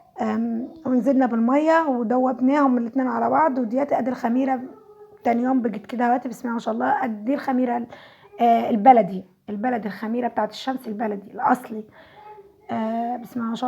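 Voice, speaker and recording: Against noticeable background noise, a woman with a high pitch speaks in fairly even intonation. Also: fairly quick pace. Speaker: home cooking vlogger. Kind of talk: cooking tutorial.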